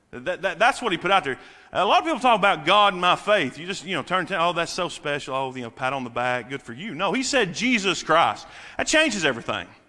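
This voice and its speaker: A man projects a raised voice with a bright, sharp tone and very wide pitch swings. He goes at a fairly quick pace over a quiet background. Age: 30s. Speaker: preacher. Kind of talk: sermon.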